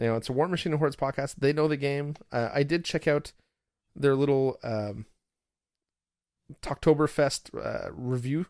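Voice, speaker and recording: A man with a Canadian accent speaks at a moderate pace with a fairly high pitch, fairly even intonation and long, frequent pauses, in a very clean, dry, close recording with no echo and a silent background. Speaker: podcast host. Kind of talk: casual chat.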